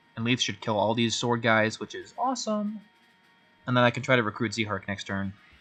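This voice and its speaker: Fairly quick speech from a man, with music in the background. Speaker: video game streamer. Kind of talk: gameplay commentary. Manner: stuttering, repeating words; casual, thinking aloud.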